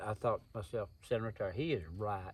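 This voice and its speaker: This is a man talking. He speaks with an Appalachian accent. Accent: Southern Appalachian American. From US South, East Tennessee (Smoky Mountains). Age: 60s. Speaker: survival instructor and bladesmith. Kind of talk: interview, personal storytelling. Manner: folksy, plain-spoken.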